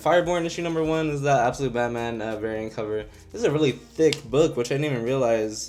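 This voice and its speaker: Music plays in the background and audible room echo surrounds a man of medium pitch. He talks at a very fast pace with lively intonation. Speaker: comic book YouTuber. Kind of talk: casual solo vlog review. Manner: casual, some stumbling.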